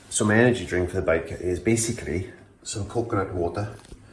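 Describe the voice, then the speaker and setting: A man with a South Welsh accent speaks quietly at a moderate pace, fairly low in pitch and fairly even in intonation. Audible room echo and noticeable background noise surround him. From South Wales. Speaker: vlogger. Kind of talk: casual vlog monologue. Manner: quiet, hushed; hesitant, many fillers.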